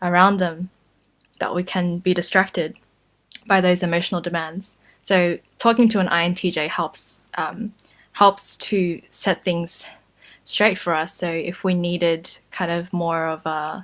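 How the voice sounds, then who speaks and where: In an Australian accent, a woman with a fairly low pitch speaks at a fairly slow pace in a monotone, flat delivery with long, frequent pauses. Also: very clean recording, silent background. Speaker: YouTuber. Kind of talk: casual talk to camera.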